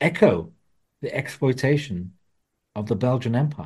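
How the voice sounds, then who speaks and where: A man's voice, somewhat breathy, carries a dark, mellow tone. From England, Wolverhampton (West Midlands). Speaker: author and journalist. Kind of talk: interview.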